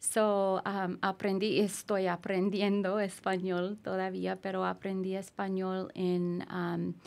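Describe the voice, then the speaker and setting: A woman with an American accent speaks at a very slow pace in a flat monotone, with hardly any pauses. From US Southwest, Gallup, New Mexico; New Mexico. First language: English (speaking Spanish). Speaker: immigration lawyer. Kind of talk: podcast interview. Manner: halting. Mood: calm, friendly. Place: studio. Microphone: studio mic.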